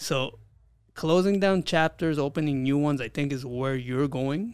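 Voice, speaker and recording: Here a man has a normal speaking voice. His pitch is fairly high, with ordinary variation. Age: 40s. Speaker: podcast co-host, fitness business owner. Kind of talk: casual chat.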